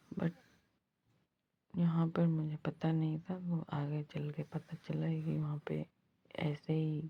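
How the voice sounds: A woman with a low pitch speaks slowly in a hoarse, slightly husky voice with vocal fry and monotone, flat intonation.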